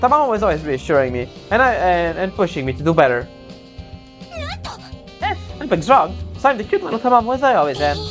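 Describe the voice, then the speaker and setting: A man speaks at a fairly quick pace. Music plays in the background. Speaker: let's play gamer. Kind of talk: gameplay commentary reading game text aloud.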